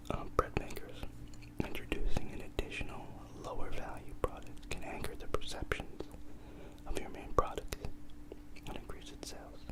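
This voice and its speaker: Whispering at a moderate pace, a man leaves long, frequent pauses and swings widely in loudness over noticeable background noise. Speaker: ASMR creator. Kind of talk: whispered ASMR reading. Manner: whispered, soft-spoken.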